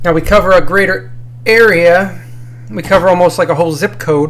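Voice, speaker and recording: A man speaks at a moderate pace in a fairly high voice with ordinary pitch variation. Background noise is noticeable. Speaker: drinking review YouTuber. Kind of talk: casual vlog monologue. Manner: casual, hesitant with fillers.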